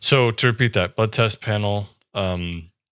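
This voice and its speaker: Fairly low in pitch, a man speaks with ordinary pitch variation. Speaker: health vlogger. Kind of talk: casual video monologue. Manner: hesitant, many fillers.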